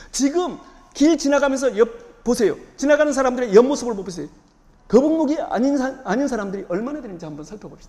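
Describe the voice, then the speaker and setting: This man's voice is extremely high, with very wide pitch swings. He talks very fast, and his loudness rises and falls sharply. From Jeju Island, Korea. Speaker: yoga and pilates studio owner, posture correction instructor. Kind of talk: lecture.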